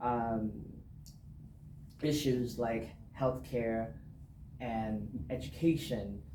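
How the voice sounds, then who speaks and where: A man with a Vietnamese accent speaks in a dark, mellow tone with long, frequent pauses. Audible room echo surrounds his voice. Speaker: political candidate. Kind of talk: interview. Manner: halting, many fillers.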